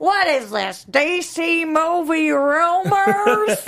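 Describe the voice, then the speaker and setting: A woman performs a put-on character voice at an extremely high pitch. She speaks at a very slow pace. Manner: grumbling, complaining.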